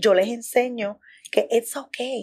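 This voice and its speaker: In a Puerto Rican accent, a woman talks at a fairly slow pace with fairly high pitch and ordinary pitch variation. The recording is very clean, with a silent background. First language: Spanish. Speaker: content creator. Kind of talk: interview conversation, Spanglish.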